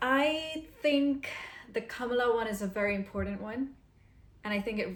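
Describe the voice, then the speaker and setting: A woman with a fairly high pitch speaks over noticeable background noise. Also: ordinary pitch variation, moderate pace. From Pakistan. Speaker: podcast co-host. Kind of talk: casual chat.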